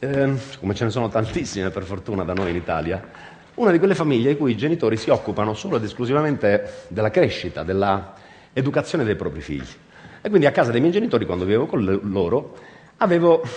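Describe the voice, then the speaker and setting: His pitch swings very widely. The man talks at a very fast pace. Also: medium pitch for a man. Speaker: stage actor. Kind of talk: theatre monologue to audience.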